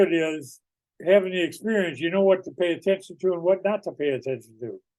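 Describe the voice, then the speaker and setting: Here a man speaks in an American accent. His voice is high-pitched. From US Midwest, Iowa. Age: 70s. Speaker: author and veteran school leader. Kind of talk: interview.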